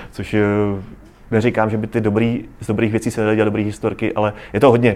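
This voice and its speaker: A man is speaking. His pace is very fast. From South Moravia, Czechia. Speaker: travel photographer. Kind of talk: interview before live audience. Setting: café with live audience.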